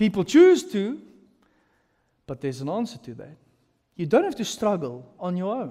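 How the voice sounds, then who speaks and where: A man's dark, mellow voice, high in pitch, at a moderate pace against a quiet background. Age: 30s. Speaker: pastor. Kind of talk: sermon. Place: hall. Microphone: headset.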